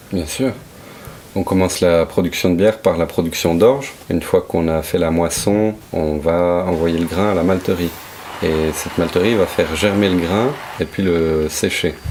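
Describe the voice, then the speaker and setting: Over noticeable background noise, a man with a very deep, low pitch and a slight Brussels accent talks at a fairly slow pace with ordinary pitch variation. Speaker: craft brewer. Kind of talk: interview answer.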